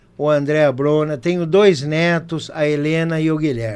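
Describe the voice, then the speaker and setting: A man with an unremarkable speaking voice, pitched fairly high, talks at a fairly slow pace. The recording is very clean with a silent background. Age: 60s. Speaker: mayoral candidate. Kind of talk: campaign closing statement. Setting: studio, live broadcast.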